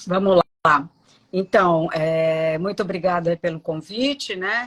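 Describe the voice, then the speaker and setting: In a dry, close recording with no echo, a woman speaks very slowly in a fairly low voice with ordinary pitch variation. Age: 60s. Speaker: dentist. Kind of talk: live interview.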